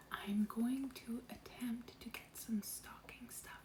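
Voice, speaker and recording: A woman whispers at a very slow pace. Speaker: lifestyle vlogger. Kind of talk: casual vlog.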